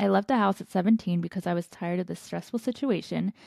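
At a very fast pace, a woman talks with a medium pitch and ordinary pitch variation, the sound dry and close with no echo. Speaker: podcast host. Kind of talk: casual chat.

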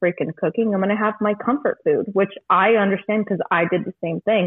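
A woman speaks with an American accent. Her fairly high voice moves at a very fast pace. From California. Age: 20s. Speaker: bartender. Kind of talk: casual chat. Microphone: echoey room.

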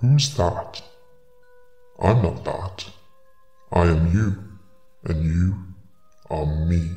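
In a put-on character voice, a man speaks at a low pitch with a dark, mellow tone, very slowly and with long, frequent pauses, as faint music plays in the background. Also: ordinary pitch variation.

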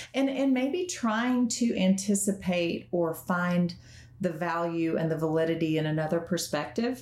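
A woman's normal speaking voice at a fairly low pitch, with lively intonation, a moderate pace and very even loudness. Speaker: podcast host, counselor. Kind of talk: casual chat.

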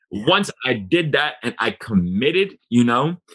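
Animated in tone, a man with an American accent speaks with lively intonation. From Boston, Massachusetts. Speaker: real estate investor. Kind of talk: casual interview.

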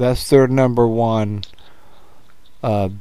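The voice is dark and mellow, with fairly even intonation, a very slow pace, and audible room echo. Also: man. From United States. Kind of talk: casual chat.

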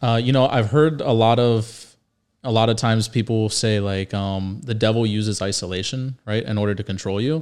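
Using an ordinary speaking voice, a man with an American accent talks at medium pitch and a moderate pace, with ordinary pitch variation. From Northern Virginia, rural. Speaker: podcast co-host, mortgage broker. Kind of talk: casual chat.

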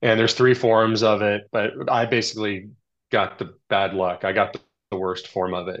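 A man with an ordinary speaking voice, an American accent and a fairly low pitch, at a moderate pace with fairly even intonation over a quiet background. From Texas suburbs. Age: 40s. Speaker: ultra cyclist. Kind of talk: casual chat. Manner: casual, filler-heavy.

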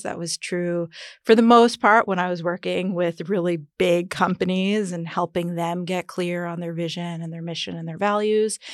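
An unremarkable speaking voice with an American accent and fairly even intonation comes through in a very clean recording with a silent background. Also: woman. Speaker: entrepreneur and mother. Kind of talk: casual chat, personal birth story.

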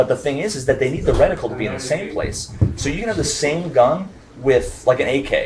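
A man talks fairly quickly as noticeable noise fills the background. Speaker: podcast co-host, streamer. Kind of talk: casual chat. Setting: convention venue with live group.

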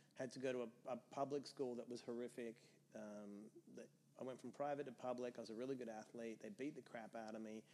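A man with an Australian accent, very fast, at a medium pitch, with fairly even intonation and a dark, mellow tone. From Australia (Perth). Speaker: entrepreneur and sobriety mentor. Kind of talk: casual interview.

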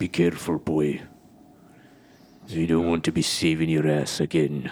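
In a put-on character voice, a man speaks with a very deep, low pitch. His intonation is monotone and flat, and his pace is moderate. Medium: actual play. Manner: terse, gruff.

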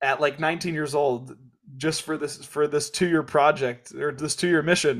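This man has an American accent and a fairly high pitch, speaking at a fairly slow pace. It is a normal speaking voice. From Kansas. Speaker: podcast host. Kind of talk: reading listener questions; casual interview chat.

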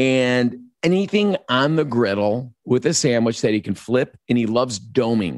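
A man with an American accent speaks at a moderate pace and medium pitch. His intonation is lively and his loudness very even. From Chicago. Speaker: chef and TV cooking host. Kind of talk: casual interview chat. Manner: animated.

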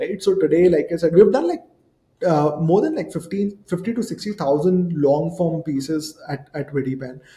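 Speaking at a moderate pace, a man has a high pitch and a dark, mellow tone. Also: ordinary pitch variation. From India, Jabalpur. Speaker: startup founder and CEO. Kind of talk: interview. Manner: hesitant, many fillers.

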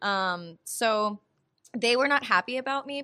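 A woman speaks in a high, bright, sharp voice with an American accent and lively intonation, on a very clean recording with a silent background. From US South, North Carolina. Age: 30s. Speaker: comedian and actor. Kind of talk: casual chat.

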